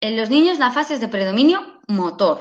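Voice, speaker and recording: A woman is speaking. Her pitch swings very widely. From Catalonia, Spain. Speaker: speech therapist. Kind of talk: lecture.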